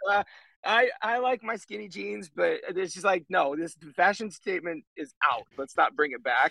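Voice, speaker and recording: With a raised, projected voice, a man speaks at a high pitch with a bright, sharp tone. His intonation is lively, his loudness swings widely, the pace is moderate, and the sound is dry and close with no echo. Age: 30s. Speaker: rock band frontman, former pastor. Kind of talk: casual chat.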